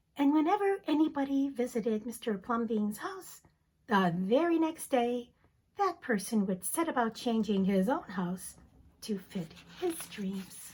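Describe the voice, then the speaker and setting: A woman at a fairly slow pace, high in pitch, with very wide pitch swings. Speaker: teacher. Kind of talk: children's story reading. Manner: dramatic, expressive.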